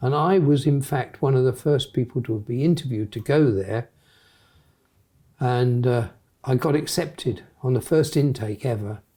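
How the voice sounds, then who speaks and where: In a southern English accent, a man speaks at a fairly slow pace with a somewhat breathy, dark, mellow tone, a medium pitch and ordinary pitch variation. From southern England, Hampshire. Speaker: retired airline pilot. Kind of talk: interview.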